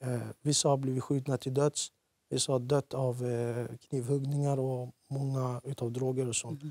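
Over a quiet background, a man with a dark, mellow tone speaks at a moderate pace in a flat monotone, the sound dry with no echo. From Iraqi Kurdistan, moved to Sweden at age 10. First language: Kurdish (speaking Swedish). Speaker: former offender, youth lecturer; youth lecturer. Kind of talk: TV interview. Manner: hesitant with fillers. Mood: serious, reflective. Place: studio. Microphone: lapel.

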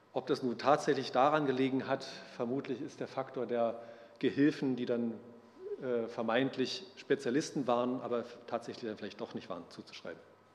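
Speaking at a moderate pace with fairly even intonation, a man leaves long, frequent pauses. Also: medium pitch for a man. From northern Germany, Neubrandenburg; Germany. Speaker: botanist and conference co-organizer; lecturer. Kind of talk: lecture. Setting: lecture hall with audience. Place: hall.

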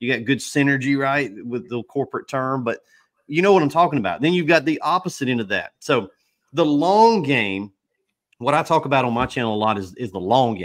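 Fairly quick in pace, a man's speech has lively intonation. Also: quiet background. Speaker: pressure washing equipment business owner. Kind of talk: casual chat. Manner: animated. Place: home room. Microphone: studio mic.

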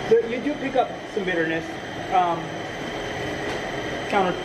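A man talks at a fairly quick pace. Loud noise fills the background. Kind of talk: interview answer. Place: factory.

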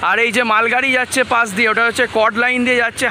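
An extremely high, raised and projected male voice in a flat monotone, dry with no echo, over light background noise. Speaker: travel vlogger. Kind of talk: walking vlog narration. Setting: outdoors at a railway station. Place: station. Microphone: phone near.

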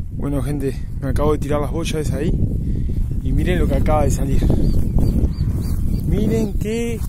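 A man talks at an even, moderate speed, the sound dry and echo-free beneath heavy background noise. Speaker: angler vlogger. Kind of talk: casual vlog chat. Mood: excited, then calm farewell. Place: waterside. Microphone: phone near.

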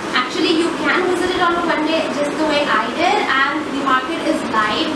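A woman speaks with ordinary pitch variation. Loud background noise and audible room echo fill the recording. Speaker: fashion vlogger. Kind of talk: casual vlog chat. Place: home room.

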